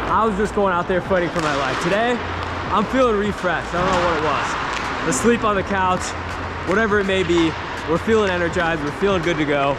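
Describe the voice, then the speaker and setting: A man at a very fast pace with ordinary pitch variation, over loud background noise. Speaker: hockey player vlogger. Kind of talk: casual vlog chat. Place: stadium. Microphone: lapel.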